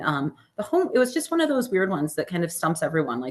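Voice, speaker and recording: Behind the woman's voice, the background is quiet. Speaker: real estate agent and marketing trainer; presenter. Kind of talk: interactive training webinar. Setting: video call with screen share. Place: home room. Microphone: webcam.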